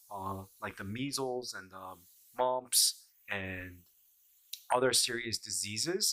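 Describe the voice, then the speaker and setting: This man has an American accent and a medium pitch with a bright, sharp tone. He talks at a very slow pace with lively intonation. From Korea, then Argentina and the US. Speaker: herbalist and acupuncture doctor. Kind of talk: casual vlog commentary. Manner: hesitant with many filler sounds.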